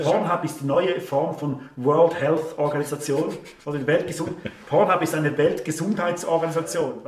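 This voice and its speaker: In a Swiss accent, a man with a fairly high pitch speaks with fairly even intonation, with audible room echo and light background noise. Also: moderate pace. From Switzerland. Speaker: online show host. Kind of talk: interview answer. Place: home room.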